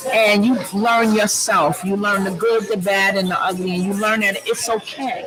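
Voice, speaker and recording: The talking goes at a fairly slow pace over noticeable background noise. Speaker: talk show guest. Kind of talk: casual chat. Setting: large loud room with audience. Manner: loud.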